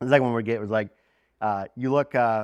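This man has an unremarkable speaking voice and fairly even intonation, recorded dry and close with no echo against a quiet background. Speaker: conference co-organizer and guest. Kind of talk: casual conversational podcast chat.

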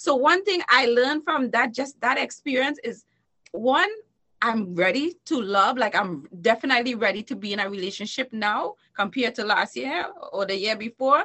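An animated woman's voice, high in pitch with lively intonation. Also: moderate pace. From Trinidad and Tobago. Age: 40s. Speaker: entertainer and talk show host. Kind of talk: podcast interview. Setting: recorded while streaming live on Facebook.

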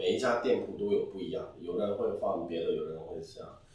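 The recording has audible room echo. Within it, a man is talking. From Hong Kong. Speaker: restaurant head chef. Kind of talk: interview.

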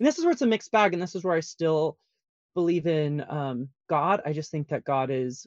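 A man with an American accent talks in a plain, everyday voice at a fairly high pitch and a fairly quick pace. His pitch variation is ordinary, and the sound is dry and close with no echo. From Colorado Springs, US. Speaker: author, ex-pastor. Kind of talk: casual interview. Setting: recording in a closet.

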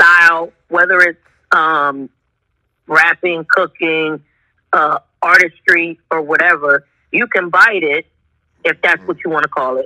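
The voice has a bright, sharp tone and a fairly slow pace. The sound is dry and close, with no echo. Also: woman. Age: 30s. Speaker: food business owner. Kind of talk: casual chat.

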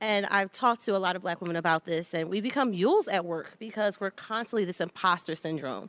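On a very clean recording with a silent background, a woman speaks at a very fast pace with a medium pitch and ordinary pitch variation. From Philadelphia, US. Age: 40s. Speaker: panelist. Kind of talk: live panel discussion. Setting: stage with audience.

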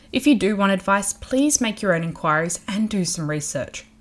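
In an Australian accent, a woman of medium pitch speaks fairly quickly in a somewhat breathy voice with very wide pitch swings. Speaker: podcast host. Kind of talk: interview; scripted intro.

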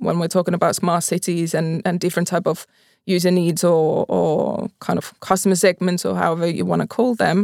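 A woman speaks at a fairly quick pace with a fairly low pitch, vocal fry and a monotone, flat intonation. The recording is very clean, with a silent background. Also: hardly any pauses. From Finland, Pori. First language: Finnish. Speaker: mobility company executive. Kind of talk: interview. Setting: studio.

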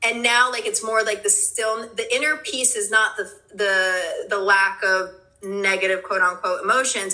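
A woman talks at a medium pitch, and noticeable background noise can be heard. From New Jersey, born in Brooklyn. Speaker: meditation teacher and clothing brand founder. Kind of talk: casual chat. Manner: animated.

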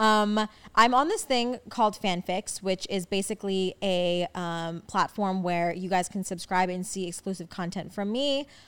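In an American accent, a woman with an ordinary speaking voice and medium pitch talks at a moderate pace with ordinary pitch variation and hardly any pauses, on a very clean recording with a silent background. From New York, Staten Island. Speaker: podcast host, social media creator. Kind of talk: casual solo Q&A chat.

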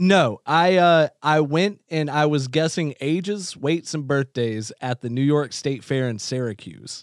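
A man with an unremarkable speaking voice, ordinary pitch variation and a fairly slow pace with hardly any pauses, dry and close with no echo, in a very clean recording with a silent background. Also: fairly high pitch for a man. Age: 30s. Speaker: podcast guest. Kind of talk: casual chat. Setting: in studio with host.

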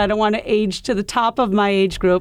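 In a normal speaking voice, a woman with an American accent talks fairly quickly at a fairly high pitch with fairly even intonation, on a very clean recording with a silent background. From US Midwest (Iowa). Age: 50s. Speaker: golf professional and coach. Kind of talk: interview.

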